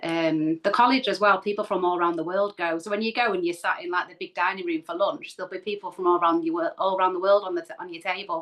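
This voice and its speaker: With a Manchester accent, a woman of medium pitch speaks at a very fast pace with hardly any pauses, fairly even intonation and big swings in loudness. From Manchester, northern England. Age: 40s. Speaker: spiritual medium and healer. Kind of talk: casual interview.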